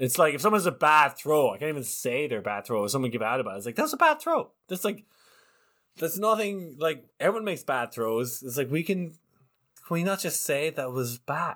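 In a very clean recording with a silent background, a man with an Irish accent talks at a fairly quick pace in a fairly high pitch, his bright, sharp tone making very wide pitch swings. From Ireland. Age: 30s. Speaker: ultimate frisbee commentator. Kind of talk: casual interview.

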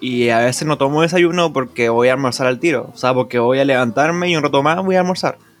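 With music in the background, a man speaks very fast in a fairly high pitch, his loudness very even throughout. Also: ordinary pitch variation, hardly any pauses. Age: 20s. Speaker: podcast host. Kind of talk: casual chat.

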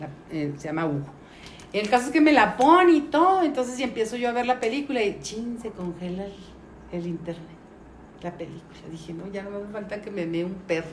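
Against noticeable background noise and audible room echo, a woman talks at a fairly quick pace with very wide pitch swings and big swings in loudness. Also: medium pitch for a woman. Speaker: teacher. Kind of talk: life story interview. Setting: at her sister's house. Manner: halting.

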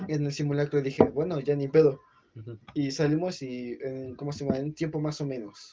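His intonation stays fairly even as he moves at a moderate pace. The man's pitch is fairly high. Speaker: podcast host. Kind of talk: casual chat.

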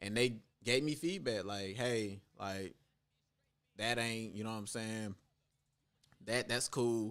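With long, frequent pauses, a man speaks at a very slow pace and medium pitch, using ordinary pitch variation. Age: 20s. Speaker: spoken word poet. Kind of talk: casual chat.

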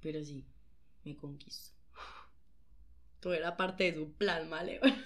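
In a room with audible echo, a woman speaks very slowly at a fairly low pitch, with big swings in loudness. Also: ordinary pitch variation. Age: young. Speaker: dancer. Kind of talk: casual chat.

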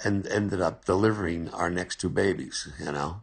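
Speaking at a fairly slow pace, a man with a very deep, low pitch shows vocal fry over a quiet background. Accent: American. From New Jersey, US. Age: 70s. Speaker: interviewee, family elder. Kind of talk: casual interview, family storytelling.

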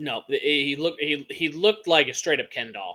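Bright and sharp in tone, a man with an American accent speaks at a fairly high pitch. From Massachusetts. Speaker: podcast co-host. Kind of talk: casual chat. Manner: animated.

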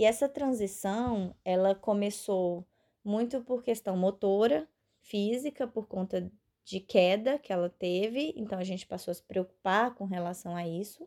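Her tone dark and mellow, the woman speaks with ordinary pitch variation. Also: medium pitch for a woman, fairly slow pace, very clean recording, silent background. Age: 20s. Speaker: family caregiver. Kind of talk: recorded testimony.

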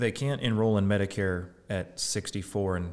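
A man's unremarkable speaking voice, fairly low, with fairly even intonation. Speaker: podcast co-host. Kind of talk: casual podcast discussion.

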